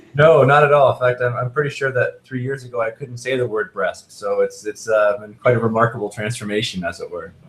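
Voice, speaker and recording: A somewhat breathy man's voice at medium pitch, fairly quick with hardly any pauses, ordinary in pitch variation. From Canada, near Toronto. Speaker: neuroimaging researcher. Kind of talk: expert Q&A interview. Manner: halting, many fillers.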